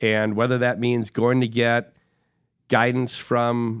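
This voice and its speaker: Recorded very cleanly against a silent background, a man with an Upper Midwest accent sounds dry and close with no echo. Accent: Upper Midwest American. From Wisconsin, Sheboygan. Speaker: corporate executive. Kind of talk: interview conversation. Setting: studio.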